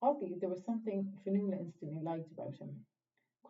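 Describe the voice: The pitch varies in an ordinary way during this plain reading aloud. Behind it, all is quiet.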